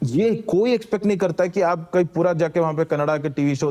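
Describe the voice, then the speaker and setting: Speaking at a moderate pace with a Malayalam accent, a man has a high pitch and a dark, mellow tone. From Kerala, India. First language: Malayalam (speaking Hindi). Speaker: former civil servant and activist. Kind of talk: casual conversation. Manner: simple Hindi mixed with English.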